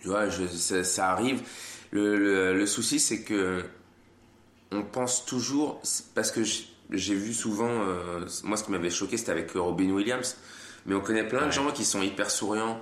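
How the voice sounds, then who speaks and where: A man's fairly low voice at a fairly slow pace, with very even loudness, long and frequent pauses, and audible room echo. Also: ordinary pitch variation. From France. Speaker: comedian. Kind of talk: casual chat.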